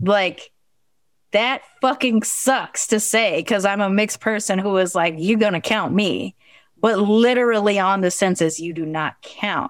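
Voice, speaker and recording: A woman with an American accent speaks at a medium pitch and moderate pace, with lively intonation. The recording is very clean, its background silent. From Long Beach, California. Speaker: podcaster. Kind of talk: interview, casual chat.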